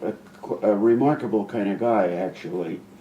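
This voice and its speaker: A man talks at a moderate pace in a fairly low pitch. Noticeable background noise is present. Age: 80s+. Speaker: film director. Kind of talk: casual chat. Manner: halting, with false starts.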